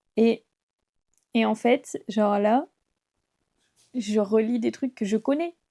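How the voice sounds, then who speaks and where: This woman's voice sits fairly high for a woman, with a dark, mellow tone and ordinary pitch variation. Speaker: book youtuber. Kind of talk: casual vlog commentary. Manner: hesitant, filler-heavy.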